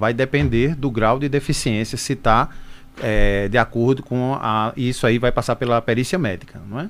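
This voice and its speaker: In a plain, everyday voice, a man talks at a moderate pace and medium pitch, with ordinary pitch variation. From Brazil, Pernambuco (Caruaru). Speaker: social security agency manager. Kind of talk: radio interview Q&A. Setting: radio studio.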